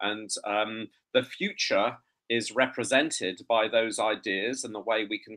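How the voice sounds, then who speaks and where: A man with an English accent speaks in a bright, sharp tone at a medium pitch with ordinary pitch variation. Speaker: entomology professor. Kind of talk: conference presentation. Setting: online video conference. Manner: hesitant, many fillers.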